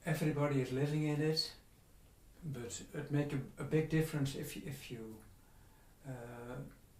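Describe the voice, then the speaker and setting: Speaking at a moderate pace in a Dutch accent, a man with a fairly high pitch keeps his intonation fairly even, pausing long and often amid audible room echo. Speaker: spiritual author. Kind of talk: interview. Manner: halting.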